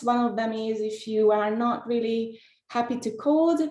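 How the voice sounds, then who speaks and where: Audible room echo surrounds a woman whose pitch is fairly high. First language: not English, not Spanish. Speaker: data scientist, tech speaker. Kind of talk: webinar presentation. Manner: many filler hesitations.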